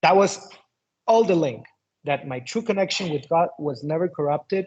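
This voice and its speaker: A man's fairly high voice with a Spanish accent. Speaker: shaman and occult teacher. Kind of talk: interview conversation.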